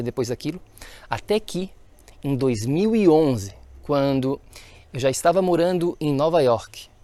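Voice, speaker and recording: Fairly high for a man, his dark, mellow voice carries lively intonation. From Florianópolis, Santa Catarina, southern Brazil. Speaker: health coach, podcast host. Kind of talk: solo podcast monologue, personal story. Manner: animated, enthusiastic.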